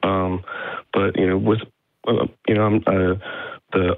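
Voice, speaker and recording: At a moderate pace, a man speaks in a very deep, low pitch with fairly even intonation. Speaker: caller. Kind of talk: casual chat. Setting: phone call. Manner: halting.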